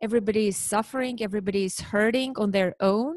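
With an Armenian accent, a woman talks at a fairly high pitch, the sound dry and close with no echo and the background quiet. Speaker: parent educator. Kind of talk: interview.

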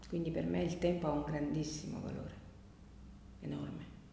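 Room echo is audible and background noise noticeable as a woman talks at a moderate rate. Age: 50s. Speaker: pattern maker and biodanza teacher. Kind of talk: interview.

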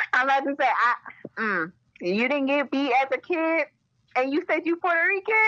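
A woman's raised, projected voice with an American accent, high-pitched with very wide pitch swings, bright and sharp in tone, at a moderate pace and very even loudness. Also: dry, close sound with no echo. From Maryland, Baltimore. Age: 20s. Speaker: government logistics specialist. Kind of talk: casual chat. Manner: animated.

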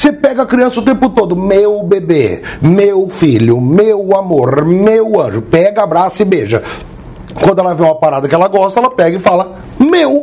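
A man's high voice with very wide pitch swings and very even loudness, at a moderate pace over noticeable background noise. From Brazil, interior of São Paulo state (Jaboticabal). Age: 40s. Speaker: podcast co-host. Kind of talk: casual chat.

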